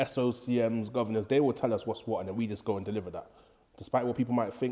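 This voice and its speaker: In a London accent, a man talks at a very fast pace with a medium pitch, fairly even intonation and a dark, mellow tone. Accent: London multicultural English. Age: 30s. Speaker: former prison officer. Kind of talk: casual podcast interview.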